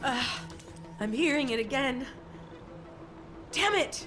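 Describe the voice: A woman's put-on character voice, high in pitch with a bright, sharp tone, lively intonation and a slow pace, over faint music in the background.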